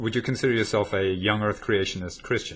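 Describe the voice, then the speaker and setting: Over noticeable background noise, a man with an American accent talks at a fairly low pitch with ordinary pitch variation. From United States. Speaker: atheist debater, channel host. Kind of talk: debate conversation. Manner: halting, many fillers.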